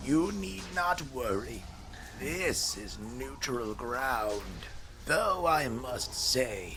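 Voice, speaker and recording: Through loud background noise, a man uses a raspy, put-on character voice at a very slow pace. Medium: audio drama. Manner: courteous, old-fashioned.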